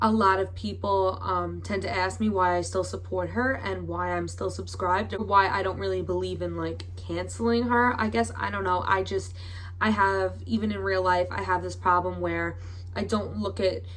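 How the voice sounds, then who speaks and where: With audible room echo and noticeable background noise, a woman talks in a very deep, low pitch and a monotone, flat intonation. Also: moderate pace. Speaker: YouTuber. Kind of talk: commentary vlog. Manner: hesitant, with fillers.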